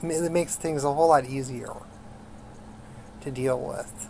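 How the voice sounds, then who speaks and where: Noticeable background noise behind speech at a fairly slow pace. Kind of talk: live stream talk. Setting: live stream. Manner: halting, repeats words.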